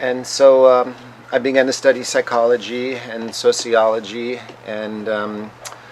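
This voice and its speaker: Medium-pitched male voice, flat and monotone, at a fairly slow pace, with big swings in loudness and noticeable background noise. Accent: American. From United States. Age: 50s. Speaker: scholar of psychedelics and religion. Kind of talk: interview. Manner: halting, many fillers.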